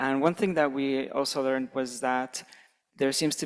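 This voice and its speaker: A man speaks in a normal speaking voice at a moderate pace. His pitch is medium and his intonation fairly even. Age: 20s. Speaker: conference audience member. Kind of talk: audience question.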